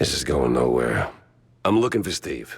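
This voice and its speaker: A man speaks in a put-on character voice, raspy and very deep and low in pitch. His pace is moderate. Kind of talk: hard-boiled voice-over. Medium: video game. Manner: dry, sardonic.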